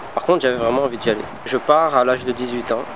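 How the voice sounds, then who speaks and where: Amid noticeable background noise, a man talks at a very fast pace, his pitch varying in an ordinary way. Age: 30s. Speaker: former Guantanamo detainee, vocational trainer. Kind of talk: testimony. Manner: halting, many hesitations.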